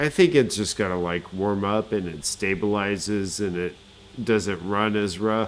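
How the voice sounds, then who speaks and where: Speaking with an American accent, a man with a plain, everyday voice and fairly low pitch goes at a fairly slow pace with ordinary pitch variation. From United States. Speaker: gaming streamer. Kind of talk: casual gameplay commentary.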